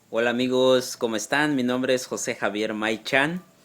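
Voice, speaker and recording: With a Yucatán accent, a man talks with fairly even intonation. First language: Yucatec Maya (speaking Spanish). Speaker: Maya language teacher. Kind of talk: tutorial. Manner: slow, repeating words for learners.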